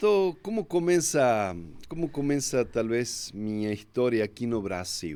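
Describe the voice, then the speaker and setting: A man's dark, mellow voice, fairly slow, with very wide pitch swings. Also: medium pitch for a man. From Argentina, Córdoba. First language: Spanish (speaking Portuguese). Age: 50s. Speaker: pastor. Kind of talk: interview.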